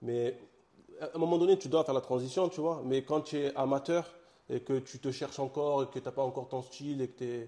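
A man with a Marseille accent talks at a fairly quick pace, his fairly high pitch carried by a dark, mellow tone. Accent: Marseille accent, singsong. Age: young. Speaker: comic book author and publisher. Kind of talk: interview. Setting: his own studio.

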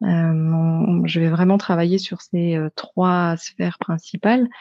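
A woman at a very slow pace and a fairly low pitch. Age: 30s. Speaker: kinesiologist. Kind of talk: interview.

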